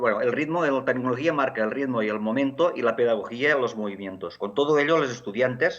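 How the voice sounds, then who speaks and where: With a Catalan accent, a man talks at a moderate pace, his medium pitch showing ordinary variation. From Catalonia, Barcelona area. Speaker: education technology academic. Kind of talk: conference talk. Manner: halting, many fillers.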